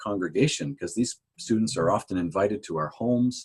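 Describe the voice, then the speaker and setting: A man speaks in a normal speaking voice. His intonation is lively and his pace moderate. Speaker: pastor. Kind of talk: interview conversation.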